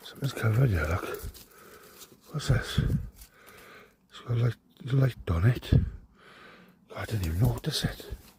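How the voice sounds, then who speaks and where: A man whispering in a Welsh accent. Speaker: urban explorer vlogger. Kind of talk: casual vlog commentary.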